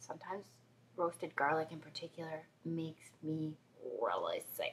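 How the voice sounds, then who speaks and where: With a plain, everyday voice, a woman talks at a moderate pace and a fairly low pitch. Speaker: video blogger. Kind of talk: casual vlog monologue. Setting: home, after a shower.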